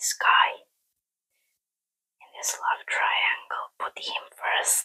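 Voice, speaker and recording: Very slow, calm whispering. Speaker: ASMR tarot reader. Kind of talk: whispered tarot reading. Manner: soft, whispered, calm.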